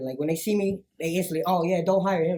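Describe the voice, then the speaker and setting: Talking at a very fast pace, a man speaks with an American accent. His high pitch follows a fairly even intonation. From Chicago area, US Midwest. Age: 20s. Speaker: musician. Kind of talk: casual interview.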